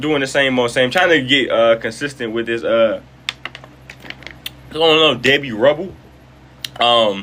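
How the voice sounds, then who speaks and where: A moderate pace with ordinary pitch variation over noticeable background noise. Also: man. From Detroit, Michigan, US. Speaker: live streamer and entertainer. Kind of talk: casual live stream chat. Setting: live stream. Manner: relaxed, playful.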